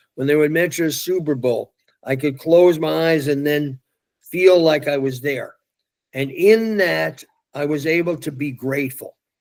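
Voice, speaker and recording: A man with a New York accent talks at a fairly slow pace. His pitch variation is ordinary. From New York City. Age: 80s+. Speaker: youth motivational speaker. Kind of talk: interview.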